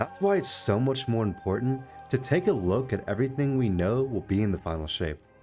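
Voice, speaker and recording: Over music in the background, a man talks at a fairly quick pace, his medium-pitched voice moving in very wide pitch swings. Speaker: gaming YouTuber. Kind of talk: gaming commentary narration.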